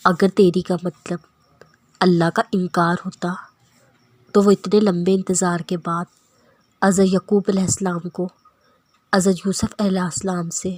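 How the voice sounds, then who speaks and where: Recorded dry and close with no echo, a woman speaks at a medium pitch, somewhat breathy and in a monotone, flat intonation. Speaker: voice-over narrator. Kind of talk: Islamic quotes narration.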